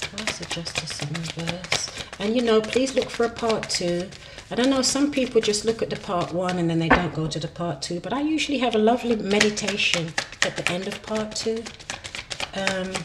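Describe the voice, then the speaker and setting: Noticeable background noise sits behind a woman's voice. She talks at a fairly quick pace with lively intonation. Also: medium pitch for a woman. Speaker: tarot reader. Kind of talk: tarot reading monologue. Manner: hesitant, with fillers; speaking softly.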